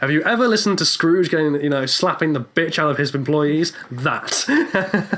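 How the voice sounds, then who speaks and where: Speech in an English accent at a moderate pace with hardly any pauses, over noticeable background noise. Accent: received pronunciation. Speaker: actor; podcast host. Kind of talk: casual chat. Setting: recording in a box on the street. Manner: sarcastic.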